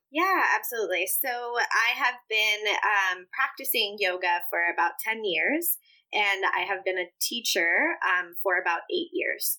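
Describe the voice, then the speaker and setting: At a fairly slow pace with hardly any pauses, the bright, sharp voice swings very widely in pitch while its loudness stays very even. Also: woman, fairly high pitch for a woman. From Puerto Rico, then US Midwest from age 8. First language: Spanish. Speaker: yoga teacher and anti-racism educator. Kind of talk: interview.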